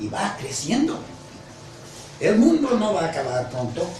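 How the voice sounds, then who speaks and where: A man at a fairly slow pace, with very wide pitch swings, audible room echo, and noticeable background noise. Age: 70s. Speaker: seminary professor. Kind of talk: lecture.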